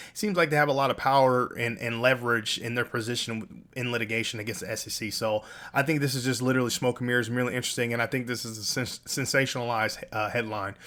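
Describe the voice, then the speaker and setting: A man speaks at a very fast pace and a medium pitch. His tone is bright and sharp. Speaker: crypto YouTuber. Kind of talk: casual commentary. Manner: animated.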